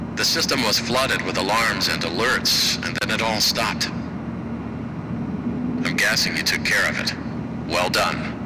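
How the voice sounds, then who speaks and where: Against loud background noise, a man performs a put-on character voice at a moderate pace. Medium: game stream. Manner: calm, breezy.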